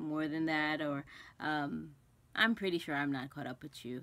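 This woman's voice is very deep and low in pitch. Her intonation stays fairly even. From West Indies. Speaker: cross stitch vlogger. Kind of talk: casual vlog chat. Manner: rambling, hesitant with many ums. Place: home room. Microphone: phone near.

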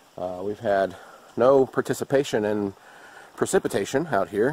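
A man talks at a moderate pace in a fairly low pitch with ordinary pitch variation. The sound is dry, with no echo. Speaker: outdoor vlogger. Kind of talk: casual vlog chat. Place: open country. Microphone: phone near.

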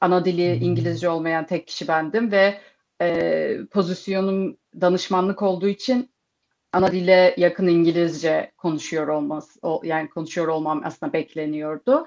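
In an ordinary speaking voice, a woman talks at a moderate pace and fairly low pitch, with ordinary pitch variation and a quiet background. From Turkey. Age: 30s. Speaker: security program manager; panelist. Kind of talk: online panel discussion. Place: home room. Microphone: video call.

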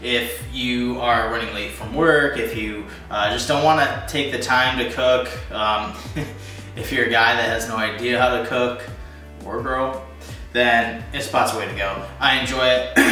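A man talks at a moderate pace in a room with audible echo, faint music playing in the background. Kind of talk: cooking tutorial. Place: kitchen. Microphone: camera far.

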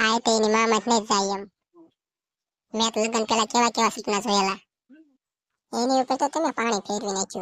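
In a cartoonish character voice, a woman speaks at a fairly high pitch and moderate pace with fairly even intonation, the sound dry and close with no echo on a very clean recording with a silent background. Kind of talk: comic cartoon dialogue. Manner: whiny, complaining.

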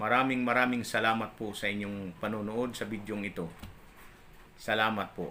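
Flat and monotone, a man speaks in a fairly low pitch with a bright, sharp tone, and the room echo is audible. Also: moderate pace. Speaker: religious vlogger. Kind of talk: religious talk. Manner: halting.

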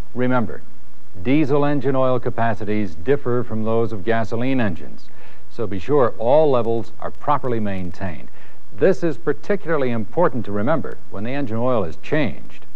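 Speaking in an ordinary speaking voice, a man talks at a moderate pace with medium pitch and lively intonation. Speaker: narrator of dealership training film. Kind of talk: 1980s corporate training film narration. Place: studio.

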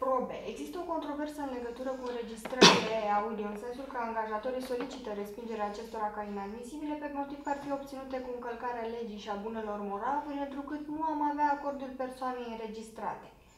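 Over light background noise and audible room echo, a woman talks at a very fast pace with a high pitch and ordinary pitch variation. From Romania. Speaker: lawyer interviewer. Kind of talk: formal interview. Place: office. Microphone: camera far.

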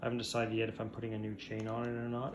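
Clearly audible noise runs in the background. It accompanies a male speaker. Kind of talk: casual work narration. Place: garage. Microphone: phone near.

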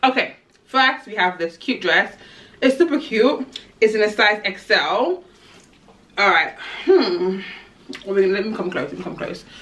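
Fairly high in pitch, a woman's voice makes very wide pitch swings and big swings in loudness. Long, frequent pauses break up her speech. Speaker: fashion vlogger. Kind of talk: try-on haul vlog. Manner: fast; animated. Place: home room. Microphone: camera far.

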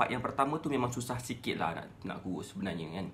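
A man at a medium pitch, talking at a very fast pace with lively intonation over light background noise. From Malaysia. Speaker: weight-loss coach. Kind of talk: Facebook Live talk. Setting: live stream. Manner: casual, conversational. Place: home room. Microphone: phone near.

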